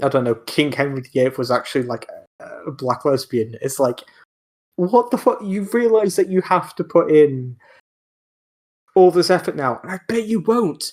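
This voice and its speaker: This man mumbles in a Welsh accent, his pitch fairly high and swinging very widely in an animated tone. He keeps a moderate pace, broken by long, frequent pauses. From Wales. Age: 20s. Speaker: podcast host. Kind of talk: casual chat. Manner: stuttering, mumbling.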